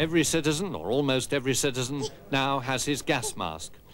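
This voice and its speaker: The speaker is a man whose voice has vocal fry. He keeps a moderate pace. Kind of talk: newsreel-style narration.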